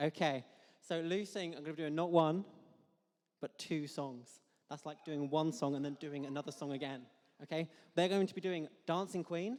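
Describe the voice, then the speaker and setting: An animated man with fairly high pitch, ordinary pitch variation, a moderate pace and long, frequent pauses. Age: 20s. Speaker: event compere. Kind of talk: live stage hosting. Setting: stage with audience.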